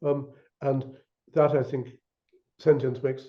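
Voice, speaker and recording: A somewhat breathy male voice. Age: 80s+. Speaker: author and scientist discussing his book. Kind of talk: academic discussion. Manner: halting, many repetitions and fillers.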